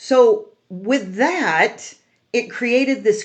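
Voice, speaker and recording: An animated woman's voice with an American accent and vocal fry. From California. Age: 70s. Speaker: mortgage lender and real estate youtuber. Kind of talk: casual explainer monologue.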